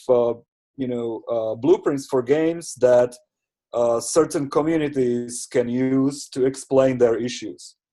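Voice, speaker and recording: Against a quiet background, a man with a non-native accent and a fairly high pitch speaks at a very slow pace in a dark, mellow tone with fairly even intonation. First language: not English. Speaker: community participant presenting session takeaways. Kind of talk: online seminar discussion. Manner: halting, many fillers and repetitions.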